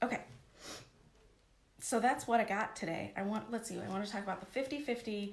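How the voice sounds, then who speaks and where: Recorded with audible room echo, a woman talks in an animated tone at a fairly high pitch, sounding somewhat breathy. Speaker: life coach. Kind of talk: live stream coaching talk. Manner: fast.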